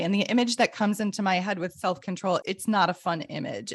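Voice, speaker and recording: Talking at a very fast pace, a woman with a medium pitch uses ordinary pitch variation over noticeable background noise. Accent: American. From US Midwest. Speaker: podcast co-host and educator. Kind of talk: casual chat.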